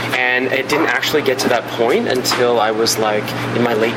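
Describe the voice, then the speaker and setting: Noticeable background noise is present throughout. A man talks with ordinary pitch movement. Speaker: film director and screenwriter. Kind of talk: interview conversation. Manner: animated, enthusiastic.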